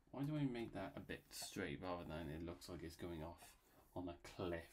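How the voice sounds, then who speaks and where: With a Bristolian accent, a man speaks at a moderate pace in a very deep, low pitch with ordinary pitch variation. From England, Bristol. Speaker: YouTuber and illustrator. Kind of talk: casual commentary while drawing. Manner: rambling, filler-heavy casual; halting.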